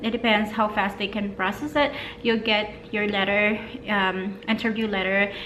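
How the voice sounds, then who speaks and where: Music plays in the background. A woman talks at a moderate pace with a fairly high pitch. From Philippines. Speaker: vlogger and mother. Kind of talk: casual talk to camera.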